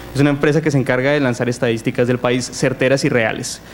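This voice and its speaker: Through noticeable background noise, a man speaks very fast with fairly even intonation. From Colombia, Pasto (Nariño). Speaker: illustrator and designer, conference speaker. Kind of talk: conference talk. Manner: casual, with fillers and repetitions.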